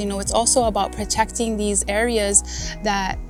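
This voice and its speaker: Music plays in the background as a woman speaks with a Guamanian accent. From Guam (Malesso'). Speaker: farmer, farm manager. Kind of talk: interview answer.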